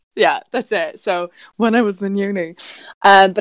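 The recording of a woman with an Irish accent has a dry, close sound with no echo. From Ireland. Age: 20s. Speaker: podcast co-host. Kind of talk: casual chat.

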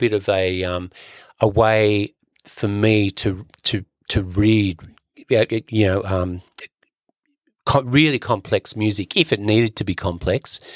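A man with an Australian accent speaks fairly slowly at a fairly low pitch, with fairly even intonation and long, frequent pauses, in a dry, close sound with no echo on a very clean recording, silent background. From Sydney, Australia. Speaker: percussionist and author. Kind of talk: casual interview. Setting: studio.

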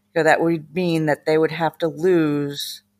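Her pitch very deep and low, a woman speaks with monotone, flat intonation on a very clean recording with a silent background. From Massachusetts, US. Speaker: podcast guest sharing family story. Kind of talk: personal testimony in interview.

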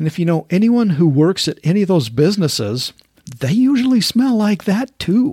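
The dry, close sound carries a man's high-pitched voice, dark and mellow in tone, with very wide pitch swings at a moderate pace. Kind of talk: devotional talk. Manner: casual, laughs often.

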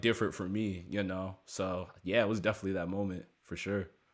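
A man with an American accent speaks fairly quickly in a plain, everyday voice, pitched fairly low. The recording is very clean, with a silent background. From US, Maryland. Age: 20s. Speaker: hip-hop producer and rapper. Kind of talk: casual interview chat.

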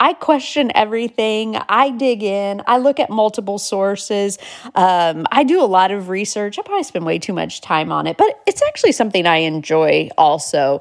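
Her lively intonation runs at a moderate pace with hardly any pauses, an unremarkable speaking voice from a woman. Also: medium pitch for a woman. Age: 40s. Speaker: podcast host and inspirational speaker. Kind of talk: casual monologue.

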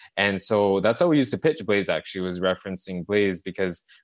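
The sound is dry and close with no echo, over a quiet background. A man with a fairly low voice talks at a very fast pace, with ordinary pitch variation. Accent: Montreal. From Canada, Montreal suburbs. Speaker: tech company CEO. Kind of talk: interview. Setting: remote call.

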